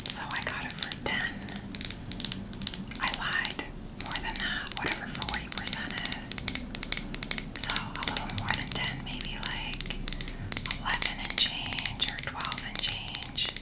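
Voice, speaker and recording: A woman is whispering at a fairly slow pace. She leaves long, frequent pauses. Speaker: ASMR creator. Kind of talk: ASMR shopping haul talk to camera. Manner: whispered. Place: home room. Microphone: studio mic.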